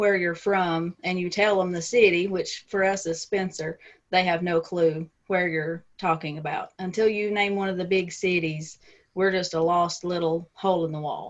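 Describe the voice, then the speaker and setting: A woman speaks with a strong Southern US accent and a fairly low pitch. Her intonation is monotone and flat. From US South, Middle Tennessee. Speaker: romance author and editor. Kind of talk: interview.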